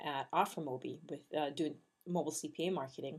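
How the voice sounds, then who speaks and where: A woman speaks quietly with a very deep, low pitch. Her intonation stays fairly even. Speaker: online marketer, vlogger. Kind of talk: casual video blog. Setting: in-laws' home at night. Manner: quiet, hushed; many fillers, uh and um.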